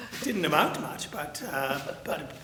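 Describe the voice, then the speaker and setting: Amid noticeable background noise, the speaker talks at a fairly slow pace with a Canadian accent. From Ontario, Canada. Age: 80s+. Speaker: retired drama teacher. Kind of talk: interview. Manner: halting, with many fillers.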